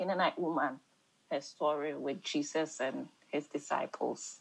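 A woman speaks with an African accent and a very deep, low pitch. Her intonation stays fairly even. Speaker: Bible study leader. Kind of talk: group Bible study discussion.

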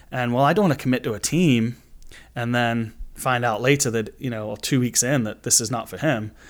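At a fairly quick pace, a man with a Manchester accent speaks with ordinary pitch variation in a very clean recording with a silent background. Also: medium pitch for a man. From England, Manchester. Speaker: youth soccer club director. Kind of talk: casual interview.

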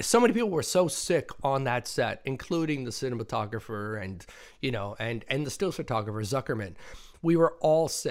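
This man has a plain, everyday voice of medium pitch and lively intonation. The recording is very clean, with a silent background. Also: moderate pace. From immigrant to the US. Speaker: podcast host. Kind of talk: casual chat.

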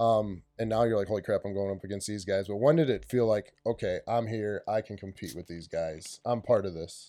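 Against a quiet background, a man talks at a fairly quick pace with ordinary pitch variation and big swings in loudness. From Wisconsin, Lake Winnebago area. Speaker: podcast co-host. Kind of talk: casual interview. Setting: studio.

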